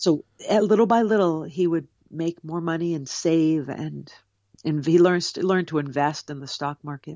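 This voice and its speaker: An ordinary speaking voice belongs to a woman with an American accent and a fairly low pitch. She moves at a moderate pace with ordinary pitch variation. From US Northeast, Cape Cod, Massachusetts. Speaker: author. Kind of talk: interview. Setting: video call.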